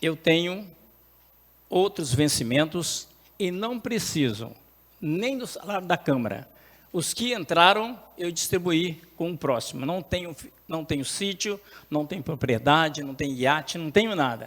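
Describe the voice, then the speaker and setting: A man with a high pitch, lively intonation, big swings in loudness and a fairly slow pace. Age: 70s. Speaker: city councillor. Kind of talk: council speech. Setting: municipal council chamber.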